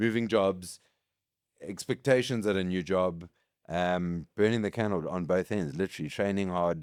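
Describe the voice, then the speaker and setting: At a moderate pace with ordinary pitch variation, the speech comes through on a very clean recording with a silent background. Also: man. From South Africa, KwaZulu-Natal. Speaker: competitive hybrid athlete and business executive. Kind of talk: casual chat.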